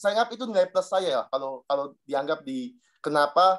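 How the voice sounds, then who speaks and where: Speaking at a fairly quick pace, a man has a fairly high voice. His pitch varies in an ordinary way. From Southeast Maluku, eastern Indonesia (Dobo). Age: 30s. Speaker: insurance agent sharing experience. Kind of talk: personal testimony to a group.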